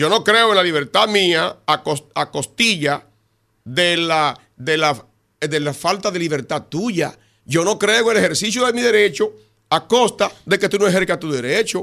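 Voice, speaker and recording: Bright, sharp tone from a man at high pitch, lively intonation, a fairly slow pace, and a very clean recording with a silent background. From Dominican Republic, La Romana. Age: 60s. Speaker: congressman. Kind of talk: radio interview.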